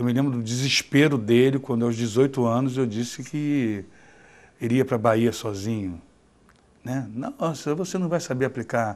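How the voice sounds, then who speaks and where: A man's medium-pitched voice moves at a moderate pace, with pitch varying in an ordinary way. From Rio de Janeiro, Brazil. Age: 50s. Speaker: blind diabetic telling his life story. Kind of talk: personal testimony. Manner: halting, with repetitions.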